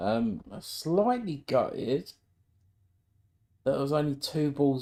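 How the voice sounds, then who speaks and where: Very slowly, a man talks in a dark, mellow tone. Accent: British. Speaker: amateur snooker player streaming his practice. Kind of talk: casual live-stream commentary while playing. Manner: chatty, thinking aloud with frequent ums.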